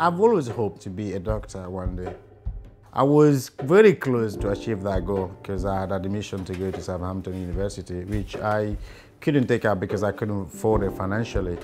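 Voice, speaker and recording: Over music in the background, a man talks at a fairly quick pace with a fairly low pitch. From Guinea. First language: not English. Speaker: care leaver. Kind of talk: interview answer.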